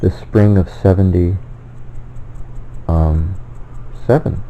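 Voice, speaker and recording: Noticeable background noise sits under a man's voice. His pitch is very deep and low, with ordinary pitch variation. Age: 60s. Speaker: self-published author and theorist. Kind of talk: personal monologue. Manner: halting, with many fillers and self-corrections.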